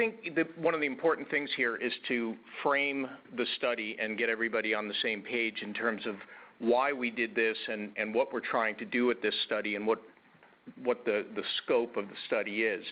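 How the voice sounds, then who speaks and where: A man speaks with an ordinary speaking voice. His pitch is medium, his pitch variation ordinary, and his pace moderate. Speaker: transportation researcher. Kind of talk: presentation. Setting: webinar.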